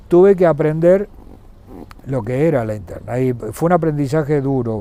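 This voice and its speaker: A man's fairly high voice carries lively intonation as he speaks at a moderate pace. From Argentina, San Juan province. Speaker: former governor and businessman. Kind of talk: interview. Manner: hesitant, with fillers and repetitions.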